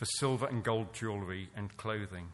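At a moderate pace, a man of medium pitch talks with an English accent and fairly even intonation. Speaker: scripture reader. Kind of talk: reading aloud.

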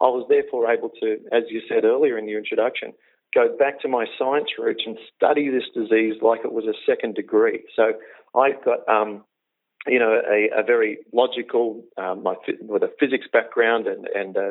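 Someone with an Australian accent talks at a moderate pace. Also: man. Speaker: health coach, former comedian. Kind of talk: interview. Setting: phone call.

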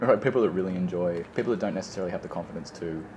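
Over noticeable background noise, a man with a very deep, low pitch talks very fast. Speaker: friend chatting over tea. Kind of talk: casual chat.

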